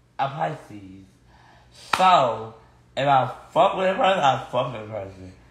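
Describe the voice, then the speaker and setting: A man's voice with audible room echo. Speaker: livestreamer. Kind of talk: casual livestream chat, ranting. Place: home room. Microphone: phone near.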